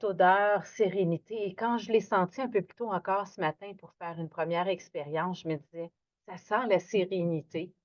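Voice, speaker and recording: A woman talks at a moderate pace with a medium pitch. Her loudness swings widely while her pitch varies in an ordinary way. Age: 60s. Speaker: yoga instructor. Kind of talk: guided yoga class. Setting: at home, evening. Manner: animated; lowering her voice, gentle.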